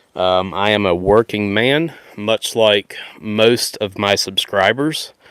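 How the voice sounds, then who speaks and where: A man speaks at a fairly low pitch. The sound is dry and close with no echo, on a very clean recording with a silent background. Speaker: Bible podcaster. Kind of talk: live podcast talk. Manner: loud.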